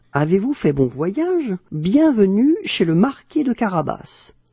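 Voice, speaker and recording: Using a put-on character voice, a man speaks at a fairly slow pace in a high pitch with very wide pitch swings. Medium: read story. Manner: sly and persuasive.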